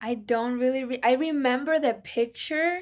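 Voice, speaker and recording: This woman speaks in a Spanish accent at a moderate pace. Her intonation is lively and her tone animated. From Ecuador. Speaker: recent college graduate and business consultant. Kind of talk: casual interview. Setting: remote call.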